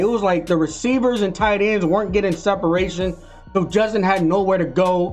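Over faint background music, a man talks in a high voice with ordinary pitch variation. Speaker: sports fan commentator. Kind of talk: post-game reaction commentary. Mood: frustrated, heated. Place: home room. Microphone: webcam.

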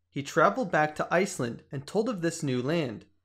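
A man with a plain, everyday voice and a fairly high pitch talks at a moderate pace. His intonation is lively. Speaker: history video narrator. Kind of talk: scripted documentary narration, explanatory and even. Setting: online video voiceover. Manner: measured, steady, formal.

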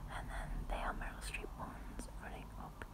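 A woman's voice against loud background noise. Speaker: ASMR creator. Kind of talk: ASMR room tour, casual talk to camera. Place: home room. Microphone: phone near.

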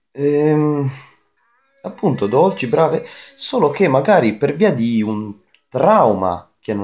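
At a fairly slow pace, a man speaks with very wide pitch swings. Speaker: anime youtuber. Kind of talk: casual vlog chat. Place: home room. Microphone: webcam.

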